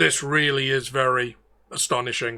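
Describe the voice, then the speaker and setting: A man's put-on character voice at medium pitch. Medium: actual play.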